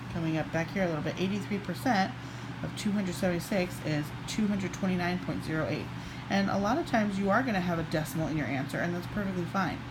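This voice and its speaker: A quiet woman with a fairly low pitch talks at a very fast pace over noticeable background noise and audible room echo. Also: ordinary pitch variation. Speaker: math teacher. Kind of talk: tutorial. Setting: at home, child sleeping nearby. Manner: quiet, kept low.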